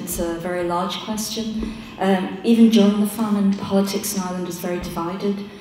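A woman speaks at a moderate pace. Audible room echo and light background noise surround her voice. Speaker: panelist. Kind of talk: interview answer. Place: hall. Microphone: podium.

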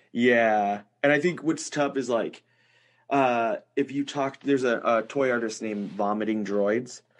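A man speaks in an unremarkable speaking voice, fairly slowly at a medium pitch with ordinary variation, over a quiet background. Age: 30s. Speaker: podcast host, toy maker. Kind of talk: casual chat.

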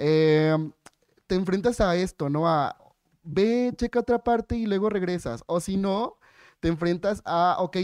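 Over a quiet background, a man with a high pitch talks at a fairly slow pace, his intonation lively and the sound dry with no echo. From Yucatán, Mexico. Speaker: human rights lawyer, blind; panelist. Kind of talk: panel discussion. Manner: talkative, animated. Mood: warm, humorous. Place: hall. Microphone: podium.

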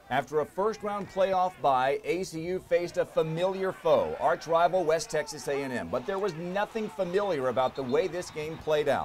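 A man's high-pitched voice with ordinary pitch variation and hardly any pauses, over noticeable background noise. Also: moderate pace. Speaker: sports broadcaster, team play-by-play announcer. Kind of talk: sports season recap voice-over narration.

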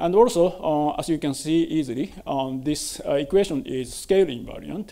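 A man's ordinary pitch variation at a moderate pace. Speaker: conference speaker. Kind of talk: lecture. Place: hall.

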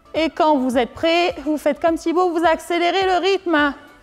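A woman's extremely high-pitched voice at a very slow pace, with fairly even intonation and faint music in the background. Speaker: fitness instructor. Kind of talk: exercise class instructions. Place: gym.

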